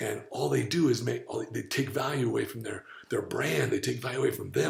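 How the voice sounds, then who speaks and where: Amid noticeable background noise, a man talks at a fairly quick pace in an animated tone. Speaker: diet coach and podcast host. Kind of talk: casual chat.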